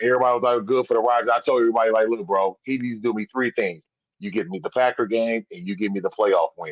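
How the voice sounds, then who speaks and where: A man with an American accent and a medium pitch talks at a very fast pace. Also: ordinary pitch variation. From Wisconsin. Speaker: caller. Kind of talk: casual chat. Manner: animated.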